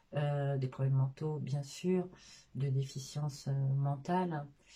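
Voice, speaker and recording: The woman's voice is somewhat breathy. Its tone is dark and mellow. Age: 50s. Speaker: sophrologist, former care assistant. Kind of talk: interview. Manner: halting, many hesitations.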